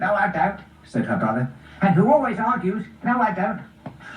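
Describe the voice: This is plain reading aloud. It comes through as plain reading aloud from start to finish.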